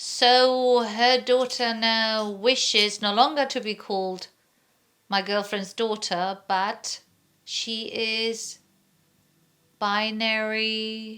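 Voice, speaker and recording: On a very clean recording with a silent background, a woman speaks very slowly in a fairly high, bright, sharp voice, her intonation monotone and flat, with long, frequent pauses. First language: not English. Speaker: vlogger. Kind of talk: casual chat.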